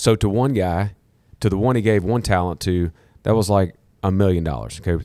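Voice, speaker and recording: A man speaks with a very deep, low pitch in a Southern US accent. His tone is dark and mellow, with ordinary pitch variation. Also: fairly quick pace. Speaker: podcast host. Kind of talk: casual teaching chat. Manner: animated, repeats 'okay?' often.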